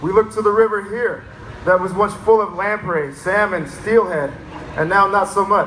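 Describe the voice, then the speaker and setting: Noticeable background noise surrounds a man talking with an American accent at a moderate pace. His pitch is high and his intonation fairly even. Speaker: fish biologist and educator. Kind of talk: public speech. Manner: unscripted, conversational.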